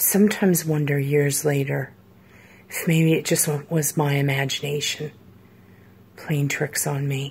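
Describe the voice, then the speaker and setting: A somewhat breathy woman's voice, very deep and low in pitch, with fairly even intonation, a fairly slow pace and long, frequent pauses. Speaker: storyteller. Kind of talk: horror story narration. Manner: suspenseful, hushed storytelling. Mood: serious, reflective. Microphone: phone near.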